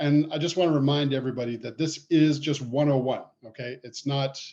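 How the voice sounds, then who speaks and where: Here is a man with a Canadian accent and a dark, mellow tone. His intonation is fairly even. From Canada. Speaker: poultry veterinarian. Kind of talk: casual podcast chat.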